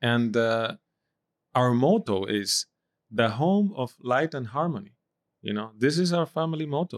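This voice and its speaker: A man with a Spanish accent and a medium pitch speaks fairly slowly with lively intonation and long, frequent pauses, his voice dry and close with no echo in a very clean recording over a silent background. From Dominican Republic. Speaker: diplomat. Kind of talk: casual interview. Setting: video recording.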